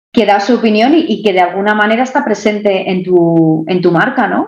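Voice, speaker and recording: A woman with a Madrid accent speaks at a moderate pace in a medium pitch with ordinary pitch variation. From Madrid, Spain. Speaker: online entrepreneur. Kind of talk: interview answer.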